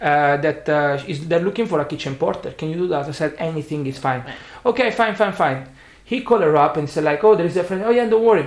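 Lively intonation at a fairly quick pace, with an Italian accent. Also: man, fairly high pitch for a man. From Italy. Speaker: bartender, spirits brand ambassador. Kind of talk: interview. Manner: halting.

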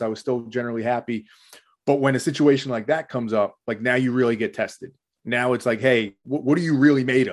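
A man's plain, everyday voice at a fairly quick pace, fairly even in intonation, against a quiet background. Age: 30s. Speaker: corporate strategist and podcast host. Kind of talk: casual interview.

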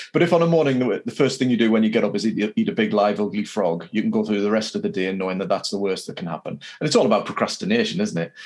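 A man with an English accent talks very fast with hardly any pauses. Background noise is noticeable. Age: 50s. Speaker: podcast host. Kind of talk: interview.

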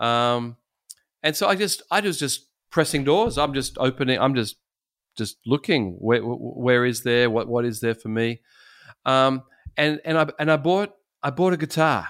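With an Australian accent, a man speaks at a medium pitch and moderate pace, using lively intonation and long, frequent pauses, on a very clean recording with a silent background. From Sydney, Australia. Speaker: pastor. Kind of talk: interview. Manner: halting, many repeated words.

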